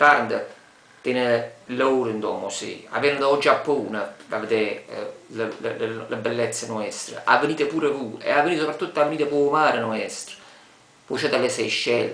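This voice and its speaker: A man in a Taranto accent, with audible room echo. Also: moderate pace. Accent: Tarantino dialect. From Taranto, Apulia, Italy. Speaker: local inviting visitors to his city. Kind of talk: casual talk to camera. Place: home room. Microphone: webcam.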